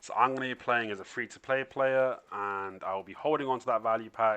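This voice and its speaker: A man speaks quietly at a fairly quick pace. His tone is bright and sharp, with ordinary pitch variation. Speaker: gaming youtuber. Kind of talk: gameplay tutorial commentary. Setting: at home, others sleeping. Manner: low-toned, subdued; quiet, holding back volume.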